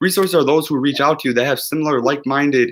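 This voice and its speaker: Delivered at a very fast pace, the voice carries an animated tone. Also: man. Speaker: YouTuber, entrepreneur. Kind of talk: motivational livestream monologue. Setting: live stream.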